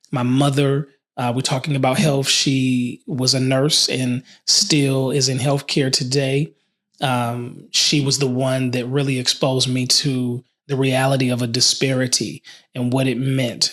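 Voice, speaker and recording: At a fairly slow pace, a man speaks in a medium pitch. His intonation is monotone and flat, and his loudness stays very even. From Detroit. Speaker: community leader and CEO. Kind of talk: podcast interview answer.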